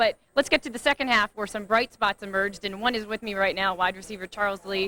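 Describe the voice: A woman's medium-pitched, bright, sharp voice at a fairly quick pace, with fairly even intonation and a dry, close sound with no echo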